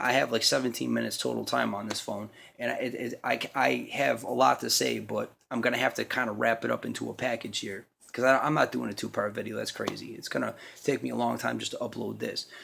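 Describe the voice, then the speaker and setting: A raspy, put-on character voice races along at a very fast pace. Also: man. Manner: talking fast, rushed.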